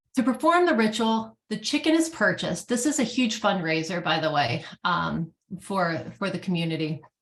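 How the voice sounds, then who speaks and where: A woman with an American accent and vocal fry, against a quiet background. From US East Coast. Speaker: animal sanctuary founder. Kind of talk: conference presentation. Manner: fast.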